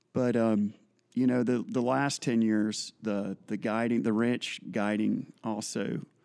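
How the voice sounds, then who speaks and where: A man's dark, mellow tone with an American accent and fairly even intonation. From US South. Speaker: fly fishing guide and shop manager. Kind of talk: casual chat.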